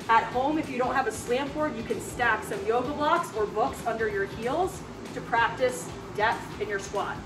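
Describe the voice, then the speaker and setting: Noticeable background noise sits behind a woman talking at a moderate pace. Her pitch is high. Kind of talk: tutorial. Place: gym.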